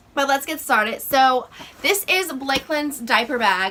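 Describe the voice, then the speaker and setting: At a moderate pace, a woman speaks in a raised, projected voice with ordinary pitch variation, amid noticeable background noise. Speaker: lifestyle vlogger and mom. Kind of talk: casual vlog show-and-tell. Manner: halting, many fillers.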